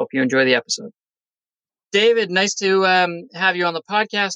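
This man uses an ordinary speaking voice with lively intonation at a moderate pace. The sound is dry and close, with no echo. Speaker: podcast host. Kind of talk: casual interview chat.

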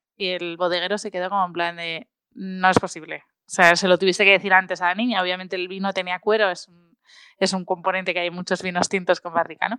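The voice races at a very fast pace in a monotone, flat intonation, with a bright, sharp tone and big swings in loudness. The recording is very clean, with a silent background and dry, close sound with no echo. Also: woman, medium pitch for a woman. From Spain, Asturias (Oviedo). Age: 20s. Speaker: food blogger and consultant. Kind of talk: interview.

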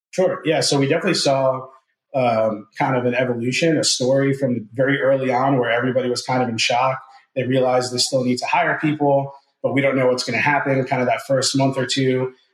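A man with an American accent has a normal speaking voice at a medium pitch. He talks at a fairly quick pace with fairly even intonation. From New Jersey, US. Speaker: recruiting firm owner. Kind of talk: interview.

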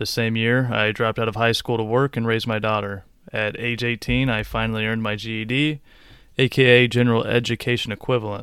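Talking at a very fast pace, a man with a medium pitch keeps a monotone, flat intonation on a very clean recording with a silent background. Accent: American. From US Midwest, Illinois. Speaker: podcast host. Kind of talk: scripted narration. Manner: formal.

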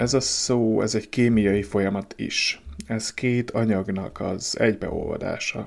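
A man with a fairly low pitch talks with vocal fry and fairly even intonation. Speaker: podcaster on emotional wellbeing. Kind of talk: solo podcast monologue. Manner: halting.

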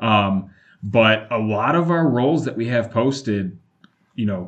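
A man speaks at medium pitch in an unremarkable speaking voice. His pitch varies in an ordinary way. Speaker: recruiter. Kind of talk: interview.

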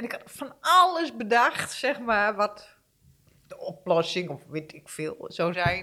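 Her pitch is fairly high and swings very widely. The woman speaks at a very slow pace. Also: big swings in loudness. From eastern Netherlands. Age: 50s. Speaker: guest sharing personal struggle. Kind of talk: testimony. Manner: halting.

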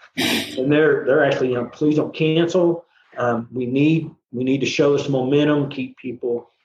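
Using fairly even intonation, a man with an Oklahoma accent speaks at a moderate pace and a fairly high pitch. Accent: Southern US, Oklahoma. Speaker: composer and musician. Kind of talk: casual interview chat.

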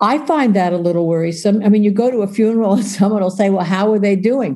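A woman with a dark, mellow tone, medium pitch, ordinary pitch variation, and a fairly quick pace. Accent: American. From New York. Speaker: social worker and author. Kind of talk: interview.

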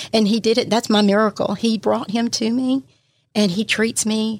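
Her intonation monotone and flat, a woman speaks with a Southern US accent at a fairly high pitch. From Mississippi, Pascagoula. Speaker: church minister. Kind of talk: testimony. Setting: studio.

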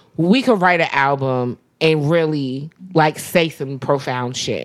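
A woman with an American accent at a very slow pace. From US East Coast. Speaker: podcast co-host. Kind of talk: casual chat.

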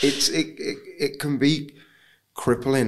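Fairly slow and fairly bright in tone, a man's voice moves with ordinary pitch variation.

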